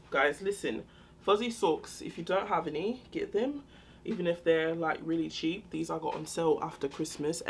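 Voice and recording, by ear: A raspy, put-on character voice in a British accent moves at a moderate pace with lively intonation. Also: woman, fairly low pitch for a woman.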